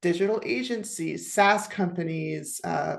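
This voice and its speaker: Against a quiet background, a woman talks with an American accent. Her pitch is medium, with ordinary variation. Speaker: IT program and project manager. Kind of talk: podcast interview conversation.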